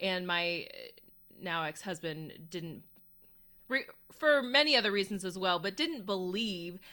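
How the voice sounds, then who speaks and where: Bright and sharp in tone, a woman speaks at a medium pitch and a moderate pace. Her pitch varies in an ordinary way, and the recording is very clean with a silent background. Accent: American. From Houston, Texas. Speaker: trademark attorney and content creator. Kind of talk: interview.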